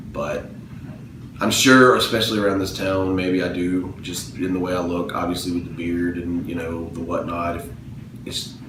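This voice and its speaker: A man with a Southern US accent talks at a moderate pace in a very deep, low pitch, with ordinary pitch variation. Noticeable background noise and audible room echo surround him. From US South, Mobile, Alabama. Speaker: interviewee. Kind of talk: interview answers.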